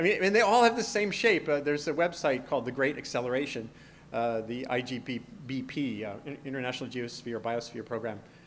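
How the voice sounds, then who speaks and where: Fairly quick male speech in an American accent, lively in intonation, with audible room echo. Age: 50s. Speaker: science journalist and author. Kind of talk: conference lecture. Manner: halting with frequent repetitions.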